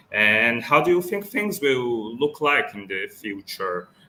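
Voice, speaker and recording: Bright and sharp in tone, a man's medium-pitched voice moves at a fairly slow pace with lively intonation. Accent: Portuguese. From Brazil. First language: Portuguese. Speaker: interviewer. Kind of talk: video call interview.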